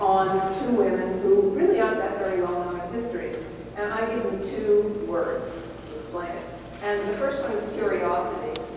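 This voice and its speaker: A woman speaks at a moderate pace in a room with strong echo and light background noise. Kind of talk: lecture. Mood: warm, lively.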